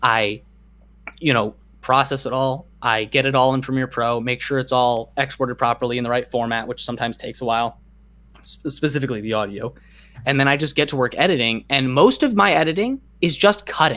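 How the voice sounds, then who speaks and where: A man's bright, sharp, medium-pitched voice at a fairly quick pace, with ordinary pitch variation, in a very clean recording with a silent background. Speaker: YouTuber. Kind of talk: casual chat. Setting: bedroom. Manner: fast.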